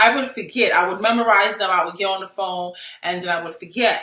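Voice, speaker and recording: Amid noticeable background noise and audible room echo, a woman speaks at a fairly quick pace with fairly even intonation. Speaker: real estate investor and coach. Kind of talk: video tutorial. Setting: home office. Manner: high energy.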